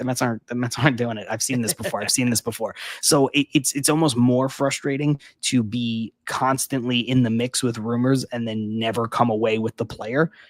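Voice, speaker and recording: A man talks quietly at a fairly quick pace with a medium pitch and fairly even intonation. The sound is dry and close, with no echo. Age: 30s. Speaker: baseball podcast co-host. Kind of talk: casual chat. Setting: at home, early morning live stream. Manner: quiet and toned down.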